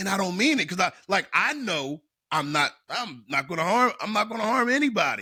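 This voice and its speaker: A man with a high, bright, sharp voice speaks at a fairly quick pace. His raised, projected delivery has very wide pitch swings. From South Philadelphia. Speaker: personal development coach. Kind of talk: podcast interview. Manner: casual, halting with repetitions.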